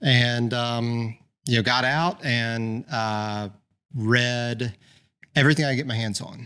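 Speaking very slowly, a man with a Southern US accent has a bright, sharp tone and fairly even intonation. The recording is very clean, with a silent background. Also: medium pitch for a man. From US South, Birmingham, Alabama. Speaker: vintage car dealer. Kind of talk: casual interview.

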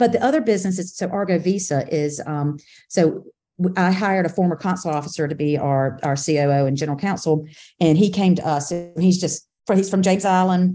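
A woman speaks fairly quickly in a fairly low, dark and mellow voice over a quiet background. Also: ordinary pitch variation. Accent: Southern US. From South Carolina, Camden. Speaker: business executive. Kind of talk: casual interview.

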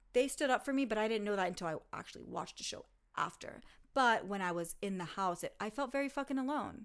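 A woman speaks in an animated tone with vocal fry. The recording is very clean and the background silent. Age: 30s. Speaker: podcast host and former reality TV cast member. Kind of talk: casual chat.

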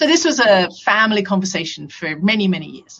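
A woman with an English accent talks at a fairly quick pace. Her pitch is medium and her intonation lively. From England. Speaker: camp founder. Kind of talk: interview.

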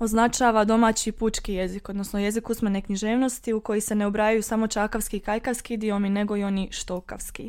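A woman's fairly high voice at a moderate pace, on a very clean recording with a silent background. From western Herzegovina, Bosnia and Herzegovina. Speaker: student discussing dialects. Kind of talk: casual academic discussion.

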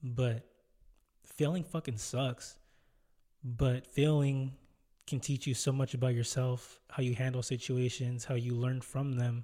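Speaking slowly with long, frequent pauses, a man keeps a medium pitch and a monotone, flat intonation. His tone is dark and mellow, and somewhat breathy. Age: 20s. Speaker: solo podcast host. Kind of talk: casual monologue.

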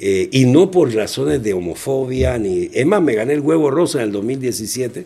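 A man at a medium pitch speaks at a fairly slow pace with hardly any pauses and very wide pitch swings, over noticeable background noise. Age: 60s. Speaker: children's clown. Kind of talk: interview.

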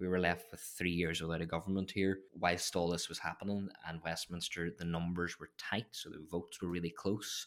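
A man with a Derry accent, very deep and low in pitch, at a moderate pace with hardly any pauses, in a flat monotone, on a very clean recording with a silent background. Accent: Northern Irish (Derry). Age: 20s. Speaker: political advisor. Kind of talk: casual interview. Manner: halting.

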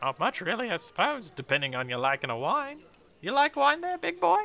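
Putting on a character voice, a man with a high pitch talks at a fairly quick pace with very wide pitch swings.

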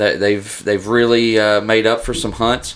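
A man talks in a Southern US accent. His pitch is medium. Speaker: duck hunter, podcast regular. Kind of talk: casual chat.

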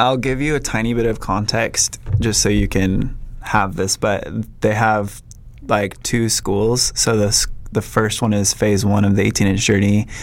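A man with a plain, everyday voice speaks at a fairly slow pace with an American accent, his pitch fairly low. His loudness stays very even and his intonation fairly even. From Minnesota. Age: 30s. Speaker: photographer. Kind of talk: casual chat.

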